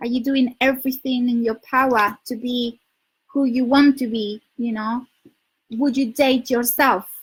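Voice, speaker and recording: Speaking at a fairly slow pace, a woman with a Spanish accent keeps her high-pitched voice in a fairly even intonation. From Spain. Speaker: dating coach. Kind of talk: livestream advice talk. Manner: loud; halting.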